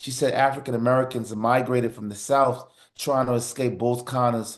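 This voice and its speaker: In a New York accent, a man talks at a moderate pace and a medium pitch. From New York City (Harlem, then Far Rockaway, Queens). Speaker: TV producer. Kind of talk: interview. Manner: animated storytelling.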